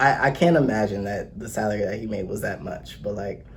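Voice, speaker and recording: A man is speaking. Room echo can be heard. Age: 20s. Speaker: accountant and personal trainer. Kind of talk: casual chat.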